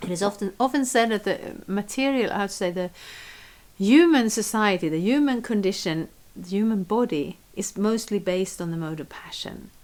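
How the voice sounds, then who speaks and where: Speaking with a non-native accent, a woman uses lively intonation at a medium pitch and moderate pace, with big swings in loudness. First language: not English. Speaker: spiritual teacher. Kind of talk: scripture reading and commentary. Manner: halting.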